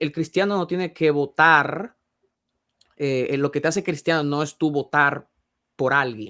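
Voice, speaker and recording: Bright and sharp in tone, a man with a fairly high pitch and ordinary pitch variation speaks with long, frequent pauses. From Dominican Republic. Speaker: Bible teacher. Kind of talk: panel discussion. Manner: fast; halting.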